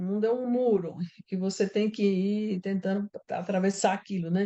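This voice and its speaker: Using a plain, everyday voice, a woman talks at a moderate pace and medium pitch with fairly even intonation. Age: 60s. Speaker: writer. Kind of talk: interview.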